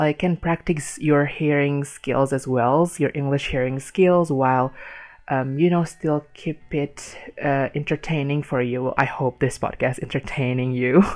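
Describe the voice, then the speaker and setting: A woman's very deep, low voice in an Indonesian accent, moderate pace, fairly even intonation, quiet background. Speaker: podcast host. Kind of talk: solo podcast monologue. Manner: halting, with many fillers.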